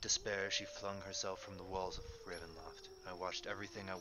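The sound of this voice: The passage comes in an unforced reading voice.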